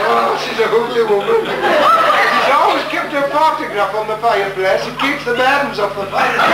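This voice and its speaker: Over loud background noise and audible room echo, a man talks at a moderate pace with hardly any pauses. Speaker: stand-up comedian. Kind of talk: live comedy monologue on stage. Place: stage.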